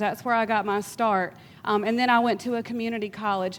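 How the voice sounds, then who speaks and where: The speaker has a Georgia accent. The pace is fairly quick. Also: woman. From US South, South Georgia. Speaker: workforce development professional. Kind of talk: panel discussion. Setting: stage with audience.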